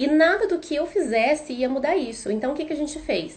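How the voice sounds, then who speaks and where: A woman's voice with lively intonation. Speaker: parenting educator, mother. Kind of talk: live stream talk. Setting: Instagram live.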